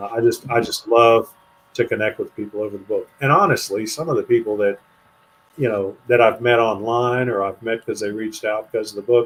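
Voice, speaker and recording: A man speaks with fairly even intonation in an ordinary speaking voice. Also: medium pitch for a man, fairly quick pace. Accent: American. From US, western Pennsylvania. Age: 60s. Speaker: author. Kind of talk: interview conversation.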